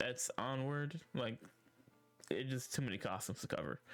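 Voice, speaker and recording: The man's voice sits at a medium pitch. Music can be heard in the background. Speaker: live streamer. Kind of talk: video game lore commentary. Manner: casual, hesitant.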